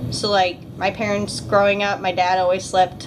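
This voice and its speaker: A woman speaks at medium pitch. Noticeable background noise sits behind her voice. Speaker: beauty vlogger. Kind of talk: casual vlog chat. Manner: animated.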